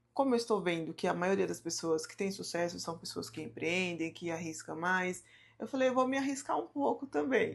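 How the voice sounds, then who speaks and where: A woman's fairly low voice with very wide pitch swings, at a moderate pace over a quiet background. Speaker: YouTuber on mindset and personal finance. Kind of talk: personal vlog talk to camera.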